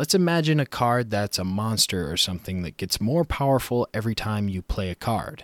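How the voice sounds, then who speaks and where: At a moderate pace, a man with a medium pitch swings his voice very widely in a very clean recording with a silent background and a dry, close sound with no echo. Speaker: game development podcast host. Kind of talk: solo educational podcast. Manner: occasionally botches words.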